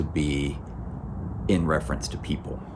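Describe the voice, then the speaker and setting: Against noticeable background noise and audible room echo, a man with an American accent speaks at a fairly slow pace. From US South, Georgia. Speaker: pastor. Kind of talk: recorded sermon. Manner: conversational, with fillers.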